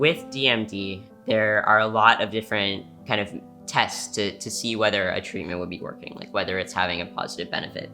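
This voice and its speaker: With music in the background, a man talks at a fairly quick pace and a fairly low pitch, his intonation fairly even and his loudness swinging widely. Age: 20s. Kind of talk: interview answer.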